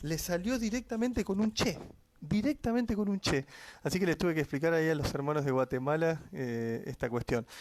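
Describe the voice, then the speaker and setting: A man with an Argentine accent speaks in a high voice with lively intonation. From Argentina. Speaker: Bible teacher. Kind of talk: livestream Bible study. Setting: live stream at home. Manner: fast.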